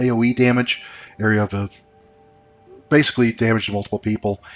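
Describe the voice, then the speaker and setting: A man's fairly low pitch and fairly even intonation, in a slight Southern US accent. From US South. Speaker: gaming YouTuber. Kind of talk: let's play commentary. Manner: hesitant, many fillers.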